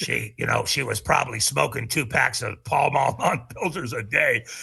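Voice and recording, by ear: A man puts on a raspy character voice at medium pitch. He talks at a moderate pace.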